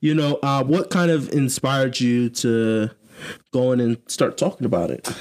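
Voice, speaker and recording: In an ordinary speaking voice, a man with an American accent talks at medium pitch with ordinary pitch variation and a moderate pace. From Columbus, Ohio. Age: young adult. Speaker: podcast co-host. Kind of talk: casual chat.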